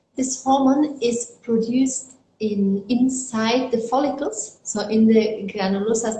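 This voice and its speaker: A woman with a German accent, fairly high pitch, fairly even intonation and hardly any pauses. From Germany. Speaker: fertility doctor. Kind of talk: interview. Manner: halting, with fillers.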